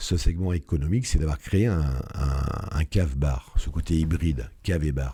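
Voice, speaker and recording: Somewhat breathy, a man with a very deep, low pitch and a dark, mellow tone speaks at a moderate pace with ordinary pitch variation. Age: 60s. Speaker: entrepreneur, business founder. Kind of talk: interview. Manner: hesitant, many fillers.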